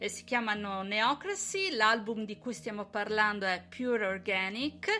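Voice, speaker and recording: The voice has an Italian accent and a bright, sharp tone. Its intonation stays fairly even. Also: woman. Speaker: radio host. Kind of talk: radio interview.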